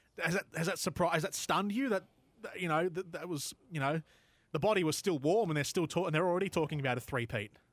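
Speaking with an Australian accent, a man talks at a very fast pace in a high voice with ordinary pitch variation. The recording is very clean, with a silent background and a dry, close sound with no echo. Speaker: sports podcast host. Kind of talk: casual sports chat. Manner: halting, many fillers.

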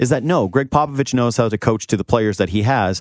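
The intonation is lively. The pace is very fast. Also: man. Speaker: podcast host. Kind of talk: casual sports chat. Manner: high energy, animated.

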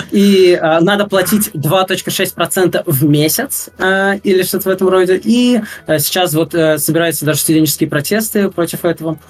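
With a high pitch, a man talks at a fairly slow pace, with ordinary pitch variation and very even loudness. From Russia. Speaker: game programming student. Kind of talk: interview. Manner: hesitant, many fillers.

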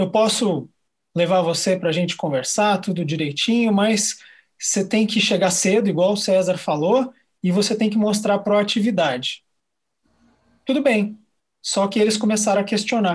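A man's high voice at a moderate pace, with ordinary pitch variation, very even loudness and long, frequent pauses, on a very clean recording with a silent background. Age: 40s. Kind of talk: casual chat.

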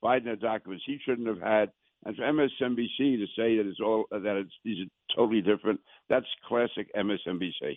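A New York accent at a moderate pace with fairly even intonation. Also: man, medium pitch for a man. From Queens, New York.

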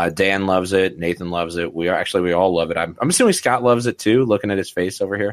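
A man with a very deep, low pitch speaks at a very fast pace. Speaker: fantasy football podcast host. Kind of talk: casual chat.

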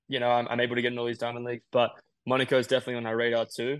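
In an Australian accent, a man speaks at a medium pitch. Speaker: middle-distance runner. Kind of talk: interview.

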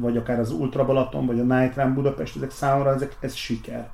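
Talking at a very fast pace, a man with a medium pitch keeps a monotone, flat intonation. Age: 40s. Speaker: race organizer. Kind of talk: interview. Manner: halting.

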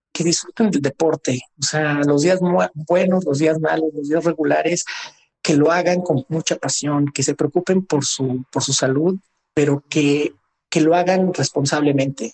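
A man speaks at a fairly slow pace and fairly high pitch with fairly even intonation. The sound is dry and close with no echo. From Mexico City (Magdalena Contreras). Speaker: Olympic long-distance runner. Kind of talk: interview. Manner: halting, repeats words.

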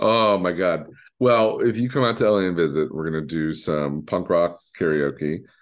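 A man with an American accent speaks in a very deep, low voice with lively intonation. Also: moderate pace. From Detroit, Michigan. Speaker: podcast host and streamer. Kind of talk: casual chat. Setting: video call. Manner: animated.

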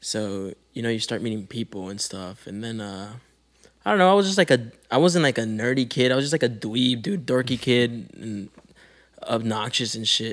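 His pace is moderate. The man's intonation is lively. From Calexico, California (US-Mexico border). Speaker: rapper. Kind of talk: casual chat.

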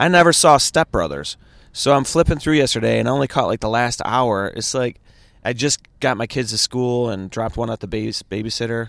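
In an American accent, a man talks at a fairly quick pace and medium pitch with lively intonation, in an ordinary speaking voice. The recording is very clean with a silent background and a dry, close sound with no echo. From Chicago area. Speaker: stand-up comedian. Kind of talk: casual chat. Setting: in a car.

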